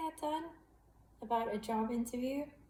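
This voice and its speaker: A woman's voice carries audible room echo, with noticeable background noise in the mix. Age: 30s. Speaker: vlogger sharing gambling addiction story. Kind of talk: personal vlog confession. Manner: hesitant, many fillers.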